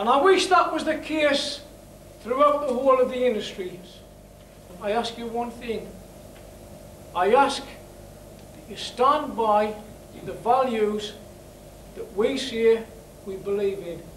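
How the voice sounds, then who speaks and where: Very slowly and with long, frequent pauses, a man speaks at an extremely high pitch with lively intonation and big swings in loudness, over noticeable background noise and audible room echo. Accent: northeast English. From northeast England. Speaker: campaign chair, former miner. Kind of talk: rally speech.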